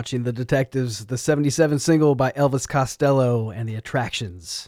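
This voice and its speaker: A man speaks at a moderate pace with ordinary pitch variation. His tone is relaxed and enthusiastic. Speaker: radio host. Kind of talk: radio DJ patter, introducing songs and interview clips between tracks. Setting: radio station broadcast. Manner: relaxed, folksy, enthusiastic, with a laid-back easy pace and fillers.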